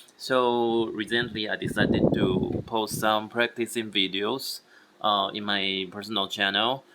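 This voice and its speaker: Fairly slow, monotone, flat delivery over noticeable background noise. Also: man, fairly low pitch for a man. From Taiwan. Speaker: language learner vlogger. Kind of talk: language practice tutorial. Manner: halting, repeating words.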